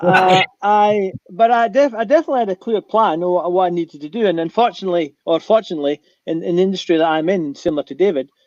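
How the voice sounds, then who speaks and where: A man speaks very fast with a Scottish accent. His pitch is high. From Scotland. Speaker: aviation pilot and adventurer. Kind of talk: panel discussion. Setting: online conference stage.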